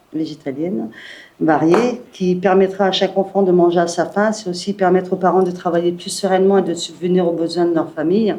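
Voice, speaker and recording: Amid noticeable background noise, a woman with a fairly low voice talks at a moderate pace with fairly even intonation. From northern France, Calais. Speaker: municipal election candidate. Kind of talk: prepared speech at press conference. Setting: press conference.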